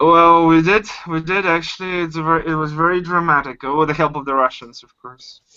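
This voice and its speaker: With a Bulgarian accent, a man speaks at a high pitch and a fairly quick pace, with hardly any pauses. His intonation stays fairly even while his loudness swings widely. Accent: foreign accent (Bulgarian). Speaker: caller on livestream. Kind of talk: casual chat. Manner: halting.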